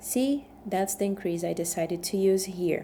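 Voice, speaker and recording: The speaker has a strong Brazilian accent and a dark, mellow tone at a fairly slow pace. The recording is very clean, with a silent background. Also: woman. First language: Portuguese. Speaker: knitting instructor. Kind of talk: tutorial. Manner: conversational with fillers and tag questions.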